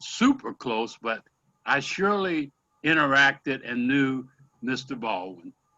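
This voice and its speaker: A man with an American accent in a normal speaking voice, medium pitch, ordinary pitch variation and a fairly slow pace. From US Midwest, Omaha, Nebraska. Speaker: former city planning official. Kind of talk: casual conversation on a video call.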